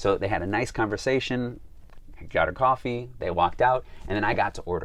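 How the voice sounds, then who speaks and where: Here is a man with a Chicago accent. He speaks at a fairly quick pace with ordinary pitch variation. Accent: American, Chicago. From US, Chicago. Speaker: travel guide vlogger. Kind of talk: vlog talk to camera. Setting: filming while traveling in Slovakia.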